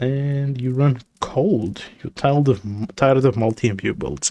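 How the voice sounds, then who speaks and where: With no echo at all, this man's voice comes through dry and close. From South Africa, Eastern Cape. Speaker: gaming streamer. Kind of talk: casual live stream commentary. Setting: live stream with chat.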